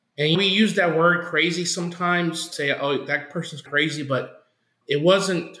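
In a room with audible echo, a man speaks at a moderate pace in a bright, sharp tone with ordinary pitch variation. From Oklahoma. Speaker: campus missionary, former pastor. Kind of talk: interview testimony.

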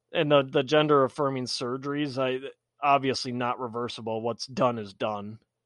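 A man talks at a moderate pace in a medium pitch, his intonation fairly even. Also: quiet background. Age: 40s. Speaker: political podcast host. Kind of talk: solo commentary monologue. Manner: halting, many fillers and repeats.

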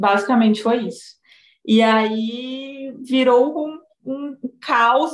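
A woman is speaking. She has a strong Goiás accent. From Goiás, Brazil. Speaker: psychologist and novelist. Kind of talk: casual chat. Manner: talkative, animated.

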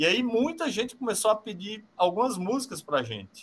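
A man is speaking. His pace is moderate. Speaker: rock band musician. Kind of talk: casual interview.

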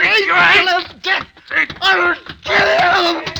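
In a put-on character voice, a man speaks at an extremely high pitch with a bright, sharp tone, vocal fry, little pitch movement and a fairly slow pace.

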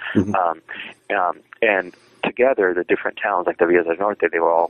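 In an American accent, a man with a very deep, low pitch talks at a fairly quick pace. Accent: South Texas Mexican American English. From South Texas border region. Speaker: historian and author. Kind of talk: interview. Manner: halting, many fillers.

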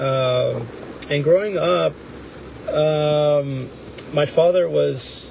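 Recorded with audible room echo and noticeable background noise, a man speaks at a very slow pace with long, frequent pauses. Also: ordinary pitch variation. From Houston area, Texas. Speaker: small business owner. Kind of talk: interview. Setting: in a car. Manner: halting.

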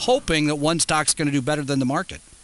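In a fairly high voice with a bright, sharp tone, a man talks at a very fast pace. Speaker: financial radio co-host. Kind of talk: call-in radio show. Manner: energetic, like a top 40 disc jockey.

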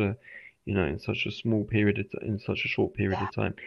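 A man with a British accent speaks at a fairly low pitch with fairly even intonation. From England. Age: 30s. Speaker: English teacher. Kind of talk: interview. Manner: halting, repetitive.

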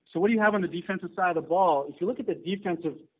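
A man speaks very fast in a high voice, his pitch varying in an ordinary way. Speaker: sports commentator. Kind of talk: casual sports talk, analysis. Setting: phone call.

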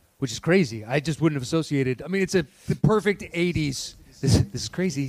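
A man speaks fairly quickly at a fairly high pitch with lively intonation. His voice is somewhat breathy. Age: 40s. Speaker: podcast co-host. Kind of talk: live podcast taping, casual banter. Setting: stage with live audience.

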